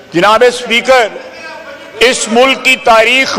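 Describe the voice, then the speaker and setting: A man with an extremely high pitch uses a raised, projected voice with fairly even intonation over noticeable background noise. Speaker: defense minister, member of national assembly. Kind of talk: parliamentary floor speech, heated debate. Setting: national assembly hall with interruptions from other members. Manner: aggressive, sarcastic, forceful.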